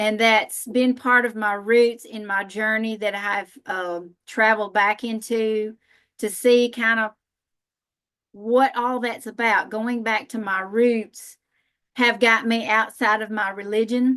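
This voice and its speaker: Over a quiet background, a woman with a Southern US accent speaks at a very slow pace in a bright, sharp tone, fairly high in pitch, with monotone, flat intonation. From US South, northern Alabama. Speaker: massage therapist and spiritual healer. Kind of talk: panel talk.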